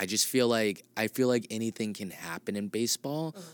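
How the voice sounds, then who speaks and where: Ordinary pitch variation from a man with an American accent. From Massachusetts (Clinton). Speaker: comedian. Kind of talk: casual chat. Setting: green room of a comedy theater.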